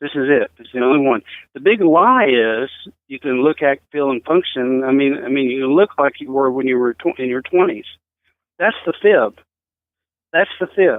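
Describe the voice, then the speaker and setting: A man with a normal speaking voice talks at a moderate pace, his fairly high pitch showing ordinary variation while his loudness swings widely. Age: 60s. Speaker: fitness author. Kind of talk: interview.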